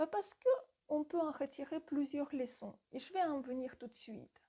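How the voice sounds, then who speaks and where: Speaking with a non-native accent, a woman with a dark, mellow tone talks at a fairly slow pace, with a high pitch and lively intonation. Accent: foreign accent in French. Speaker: retail store manager and sales coach. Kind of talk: tutorial.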